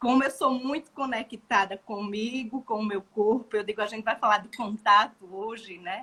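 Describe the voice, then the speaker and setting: The tone is bright and sharp. Loudness swings widely throughout. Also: woman, fairly high pitch for a woman, fairly even intonation, moderate pace, hardly any pauses. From Brazil, Maceió (Alagoas, Northeast). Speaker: gestalt therapist. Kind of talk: casual chat.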